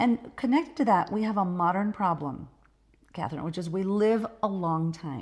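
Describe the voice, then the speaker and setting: A woman speaks at a moderate pace and medium pitch in an ordinary speaking voice, with lively intonation, on a very clean recording with a silent background. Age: 50s. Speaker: doctor, midlife health expert. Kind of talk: podcast interview.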